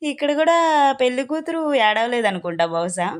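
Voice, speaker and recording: A woman with lively intonation, over noticeable background noise. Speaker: vlogger. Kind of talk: casual vlog narration.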